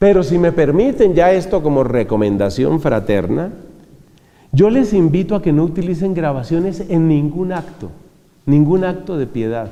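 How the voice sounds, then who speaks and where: A man with a high pitch speaks at a moderate pace, his pitch swinging very widely. Room echo is audible. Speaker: friar and preacher. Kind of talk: religious talk.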